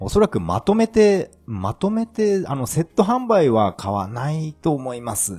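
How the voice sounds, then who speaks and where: In a dry, close sound with no echo, a man with a dark, mellow, somewhat breathy tone speaks at a fairly slow pace and fairly high pitch, making very wide pitch swings with hardly any pauses. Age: 40s. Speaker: podcaster. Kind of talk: casual monologue.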